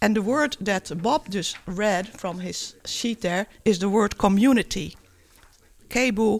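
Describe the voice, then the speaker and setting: A woman speaks at a moderate pace in an ordinary speaking voice, with ordinary pitch variation. The recording is very clean with a silent background. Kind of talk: radio pledge-drive co-presenter chat, switching between Dutch and English.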